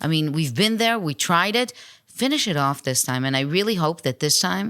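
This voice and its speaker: On a very clean recording with a silent background, a woman speaks in a very deep, low voice with very wide pitch swings. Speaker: October 7 survivor, border community resident. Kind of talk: interview.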